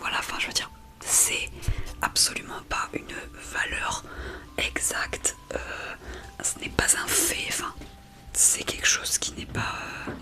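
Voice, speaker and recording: Someone whispers at a very slow pace with long, frequent pauses. Background noise is noticeable. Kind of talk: ASMR talk to camera, whispering. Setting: home recording with background water noise. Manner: soft-spoken, personal, reflective.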